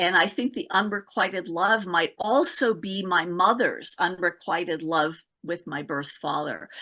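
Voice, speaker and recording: Against a quiet background, a woman with a bright, sharp tone speaks fairly slowly at a medium pitch, with ordinary pitch variation. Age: 60s. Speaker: early development specialist and author. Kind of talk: conference talk Q&A answer. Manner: halting, many fillers and repetitions.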